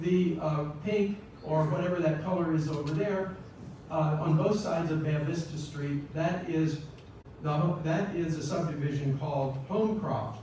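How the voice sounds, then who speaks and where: In an American accent, a man with a fairly high pitch talks fairly slowly and with fairly even intonation against noticeable background noise. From Sarasota, Florida. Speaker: community historian. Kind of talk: public lecture.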